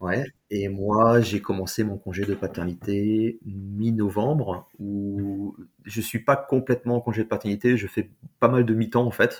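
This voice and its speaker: A man with a normal speaking voice talks fairly slowly in a fairly low register. His intonation is fairly even, and the recording is very clean with a silent background. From France. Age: 40s. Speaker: expat father. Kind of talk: interview testimony.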